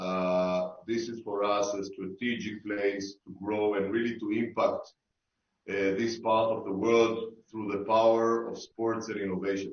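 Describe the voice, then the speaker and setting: A man with an Israeli accent, fairly low-pitched and fairly slow, in a flat, monotone delivery. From Israel, Tel Aviv. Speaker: sports tech investor. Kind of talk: online panel discussion. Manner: halting, many fillers.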